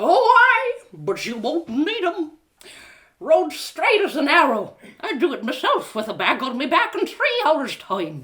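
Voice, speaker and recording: A woman in a put-on character voice speaks at an extremely high pitch and a fairly slow pace, her pitch swinging very widely. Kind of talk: live storytelling reading.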